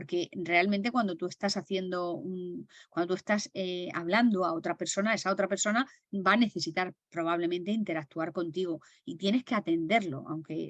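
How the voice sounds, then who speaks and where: A woman's fairly low-pitched voice at a fairly quick pace, ordinary pitch variation, hardly any pauses, a quiet background, and a dry, close sound with no echo. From Murcia, Spain. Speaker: stress management trainer. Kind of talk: webinar lecture. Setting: video call. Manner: carefully enunciated.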